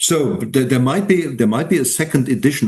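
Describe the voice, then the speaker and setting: In a German accent, a man speaks somewhat breathily at a fairly high pitch, with lively intonation. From Germany. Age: 70s. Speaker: independent historian and retired teacher. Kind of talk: interview. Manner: halting, with many repeated words.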